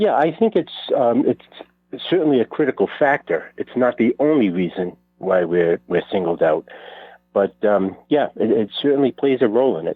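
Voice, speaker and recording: With a Rhode Island accent, a man speaks at a medium pitch and a moderate pace, his pitch swinging very widely. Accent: North Providence. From Rhode Island, North Providence. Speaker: author. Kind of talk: radio interview. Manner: hesitant, many fillers.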